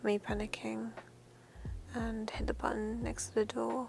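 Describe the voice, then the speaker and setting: Against noticeable background noise, a soft-spoken woman talks at a fairly slow pace. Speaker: voice actor. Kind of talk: ASMR roleplay.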